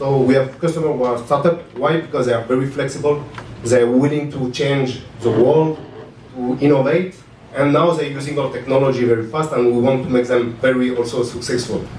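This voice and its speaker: A man talks at a moderate pace with a medium pitch and ordinary pitch variation. There is noticeable background noise and audible room echo. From France. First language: French. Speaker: tech startup founder. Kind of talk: conference panel talk. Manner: halting.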